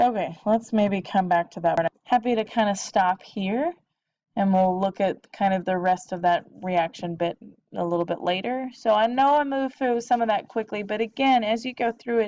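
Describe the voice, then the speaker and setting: Lively intonation comes through a dry, close sound with no echo and a quiet background. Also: woman. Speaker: biology teacher. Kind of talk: lecture. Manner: fast.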